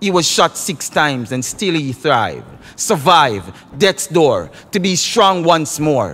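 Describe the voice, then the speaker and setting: A man with a Jamaican accent, lively intonation and a fairly slow pace. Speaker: dub poet. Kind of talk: poetry reading.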